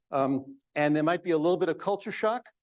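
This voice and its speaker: Against a quiet background, a man with a fairly high voice speaks at a fairly quick pace. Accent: New York. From New York. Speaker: psychologist, guest speaker. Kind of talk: public talk. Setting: banquet hall with audience.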